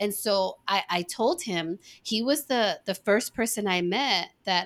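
The recording is very clean with a silent background. A plain, everyday voice speaks at a fairly slow pace with lively intonation. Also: woman. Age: 40s. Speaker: podcast host. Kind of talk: casual chat.

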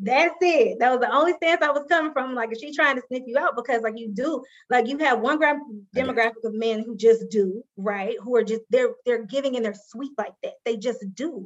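Moderate pace and ordinary pitch variation, with a slight Southern US accent. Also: woman, high pitch for a woman. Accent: light Southern twang. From Alabama. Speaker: guest.

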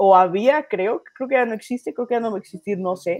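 A woman speaks at a moderate pace in a fairly high pitch, with ordinary pitch variation and a normal speaking voice. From Mexico City. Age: 20s. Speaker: stand-up comedian. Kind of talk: casual chat. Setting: studio.

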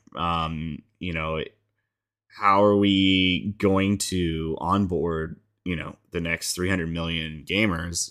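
Very deep, low male pitch at a very slow pace. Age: 30s. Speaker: podcast host. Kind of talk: casual chat. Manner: hesitant, many fillers.

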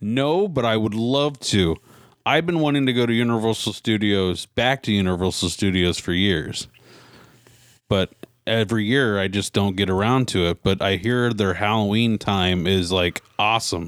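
A man's normal speaking voice, fairly low in pitch, at a moderate pace with very even loudness. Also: ordinary pitch variation. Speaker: podcast host. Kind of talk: casual chat.

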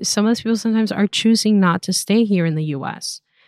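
On a very clean recording with a silent background, a woman speaks at a fairly quick pace with a dry, close sound and no echo. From Venezuela. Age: 30s. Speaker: immigration attorney. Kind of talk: casual interview.

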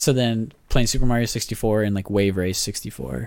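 A man talking at a very fast pace on a very clean recording with a silent background. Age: 20s. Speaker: podcast host and banker. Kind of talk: casual chat. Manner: casual, laughs often.

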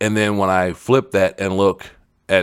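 With vocal fry and a very deep, low pitch, a man speaks on a very clean recording with a silent background. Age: 40s. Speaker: podcast host, former wrestler. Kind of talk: solo podcast commentary. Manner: repetitive stammering.

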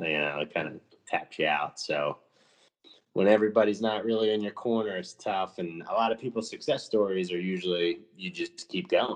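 This man has a plain, everyday voice at a fairly low pitch. He keeps a moderate pace with ordinary pitch variation. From New Jersey. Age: 30s. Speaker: former professional wrestler. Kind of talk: casual chat.

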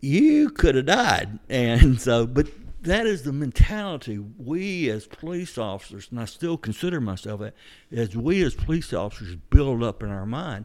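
In a very clean recording with a silent background, a man speaks with a Georgia accent at a medium pitch. His pitch swings very widely and his loudness shifts a lot. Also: moderate pace. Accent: Southern American (Georgia). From US South. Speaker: retired police officer. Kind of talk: interview.

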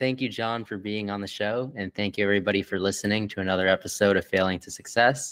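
A man speaks fairly quickly in a normal speaking voice with a fairly low pitch. His intonation stays fairly even. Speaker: podcast host. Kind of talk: casual interview.

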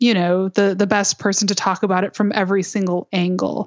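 A woman with a Michigan accent, medium pitch, monotone, flat intonation and a fairly quick pace. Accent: Midwestern US (Michigan). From Michigan, suburban Detroit. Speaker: podcast host, improv performer. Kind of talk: interview conversation.

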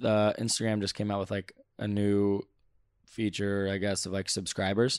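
Fairly low in pitch, a man speaks in a Californian accent. The recording is very clean, with a silent background. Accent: Californian American. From Southern California (Santa Clarita). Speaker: volleyball player. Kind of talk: casual chat. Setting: indoors at World Championships in Poland.

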